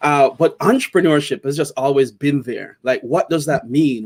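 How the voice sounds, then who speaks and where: Here a man talks with a Jamaican accent at a moderate pace. His pitch is fairly high. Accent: Jamaican, kept. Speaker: tech entrepreneur. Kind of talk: interview. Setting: live video stream. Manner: casual, with many fillers.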